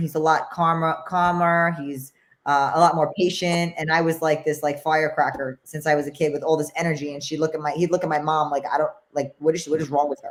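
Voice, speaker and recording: In a New York accent, a woman talks very fast in a very deep, low pitch with monotone, flat intonation. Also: very clean recording, silent background. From New York, the Bronx. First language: Spanish. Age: 40s. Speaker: former boxing champion. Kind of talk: interview.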